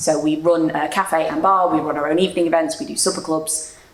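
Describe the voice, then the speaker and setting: A woman with fairly low pitch speaks in a monotone, flat way at a moderate pace. Audible room echo and noticeable background noise fill the recording. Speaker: social enterprise founder. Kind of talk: panel discussion. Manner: loud.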